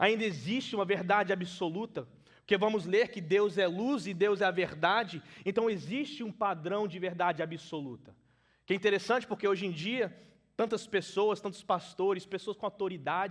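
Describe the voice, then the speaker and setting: At a moderate pace, a man with a non-native accent speaks at a high pitch with ordinary pitch variation, against a quiet background. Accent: limited Portuguese, non-native. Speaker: preacher. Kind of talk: sermon. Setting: church.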